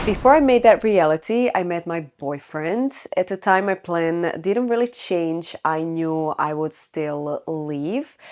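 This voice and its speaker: A woman with a Croatian accent speaks at a very slow pace with hardly any pauses, her fairly low voice carrying lively intonation. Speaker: lifestyle vlogger. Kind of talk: personal storytelling to camera.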